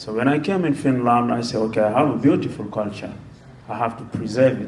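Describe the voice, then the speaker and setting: A man at medium pitch with ordinary pitch variation and a very fast pace, in audible room echo. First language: non-English mother tongue. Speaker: musician and panelist. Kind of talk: panel discussion.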